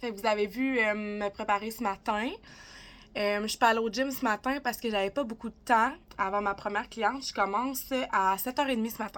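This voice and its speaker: Over a silent background in a very clean recording, a woman with a Quebec accent speaks at a fairly quick pace, her pitch fairly high and her intonation fairly even. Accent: Québécois French. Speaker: vlogger and beauty technician. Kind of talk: casual vlog talk to camera. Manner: fast.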